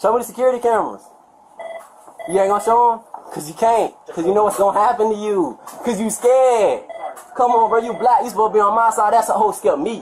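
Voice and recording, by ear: Speaking at a fairly quick pace, a man has a high pitch and a slightly husky edge. His pitch variation is ordinary.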